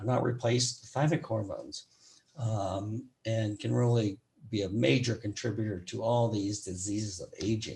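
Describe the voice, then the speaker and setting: A dark, mellow tone, somewhat breathy, with ordinary pitch variation. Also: man, medium pitch for a man, moderate pace. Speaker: physician. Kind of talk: lecture. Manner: halting.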